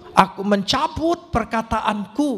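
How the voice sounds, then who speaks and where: Clearly audible background noise surrounds a man talking with lively intonation. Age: 70s. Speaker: pastor. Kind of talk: sermon.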